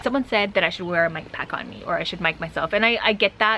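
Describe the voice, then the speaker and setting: With noticeable background noise around her, a woman at a medium pitch talks very fast in fairly even intonation. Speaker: travel vlogger. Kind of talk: casual chat reading viewer comments.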